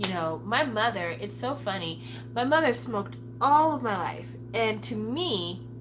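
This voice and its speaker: A woman's animated tone at a fairly slow pace, with audible room echo. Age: 40s. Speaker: solo talk channel host. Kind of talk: casual monologue.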